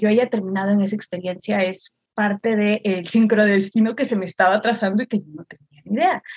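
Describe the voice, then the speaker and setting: A somewhat breathy woman's voice at a fairly high pitch. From northern Peru, Chiclayo. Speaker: content creator and artist. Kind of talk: casual chat.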